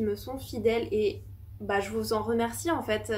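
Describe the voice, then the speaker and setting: The woman's voice carries audible room echo. She talks fairly slowly. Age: 20s. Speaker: small business owner and YouTuber. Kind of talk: casual vlog talk to camera. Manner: hesitant, many fillers.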